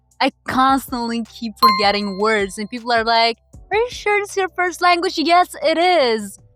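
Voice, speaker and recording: A woman with a high pitch and very wide pitch swings talks at a moderate pace, her sound dry and close with no echo, while music plays in the background. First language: Russian. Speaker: language learning youtuber. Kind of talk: casual vlog monologue.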